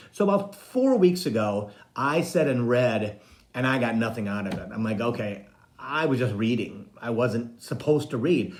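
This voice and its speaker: Speaking at a medium pitch and moderate pace, a man uses lively intonation. Room echo and noticeable background noise are both audible. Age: 60s. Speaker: psychic medium and spiritual coach. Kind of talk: casual live-stream monologue.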